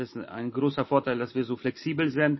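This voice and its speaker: A man with a fairly high pitch speaks at a moderate pace, his intonation fairly even. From Poland, raised in Hamburg area from age 8. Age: 30s. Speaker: chef and caterer. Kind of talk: interview.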